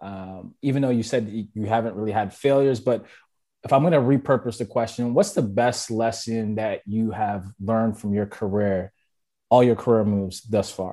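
A man's medium-pitched voice with a dark, mellow tone, fairly even intonation and a moderate pace, against a quiet background. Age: 30s. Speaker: podcast host. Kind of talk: interview chat. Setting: video call.

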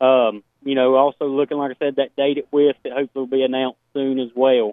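Talking at a fairly quick pace, a man with an American accent has a fairly high pitch. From Portsmouth, Ohio, US. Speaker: dirt racing series organizer. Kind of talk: radio interview.

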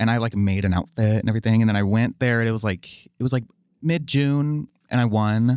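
A man speaks at a fairly quick pace with an ordinary speaking voice and ordinary pitch variation. The sound is dry and close with no echo, over a quiet background. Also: medium pitch for a man. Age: 20s. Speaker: drag performer. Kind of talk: casual chat. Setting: studio.

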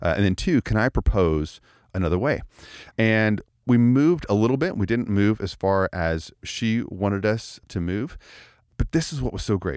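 Heard on a very clean recording with a silent background, a man with an unremarkable speaking voice and a fairly low pitch talks at a moderate pace with lively intonation. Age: 40s. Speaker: church leadership podcast host. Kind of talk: casual chat. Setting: studio.

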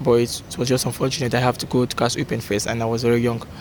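In a Nigerian accent, a man talks at a very fast pace against noticeable background noise. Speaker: footballer.

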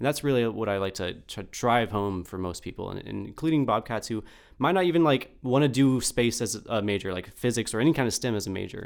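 With a plain, everyday voice, a man talks at a medium pitch and a fairly quick pace, with lively intonation and hardly any pauses, in a very clean recording with a silent background. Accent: American. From Austin, Texas. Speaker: physics graduate student, lab coordinator. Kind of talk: casual interview.

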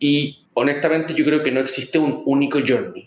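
At a moderate pace, a man speaks with a fairly high pitch and a plain, everyday voice. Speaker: marketing executive. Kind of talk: interview.

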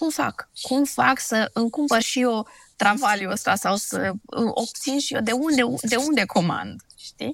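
The pace is fairly slow, with vocal fry and ordinary pitch variation. The recording is very clean, with a silent background. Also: woman, fairly high pitch for a woman. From Transylvania, Romania (Sibiu). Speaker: blogger and dentist. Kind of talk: interview conversation. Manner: casual conversational.

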